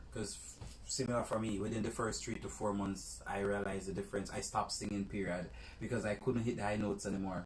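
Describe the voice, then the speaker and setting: At a very fast pace, a man talks in a fairly low pitch with ordinary pitch variation. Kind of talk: casual chat.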